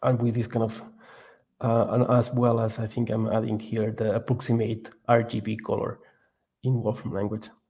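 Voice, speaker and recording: A man with a Catalan accent speaks at a medium pitch and moderate pace, in monotone, flat intonation. His tone is dark and mellow, and somewhat breathy. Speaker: research scientist presenting a course. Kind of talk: tutorial. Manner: halting, many fillers and repetitions.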